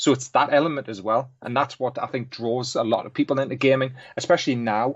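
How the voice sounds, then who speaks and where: A man speaks with a Geordie accent at a moderate pace. His intonation stays fairly even. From northern England, Newcastle. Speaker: graphics artist and guest co-host. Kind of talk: casual chat.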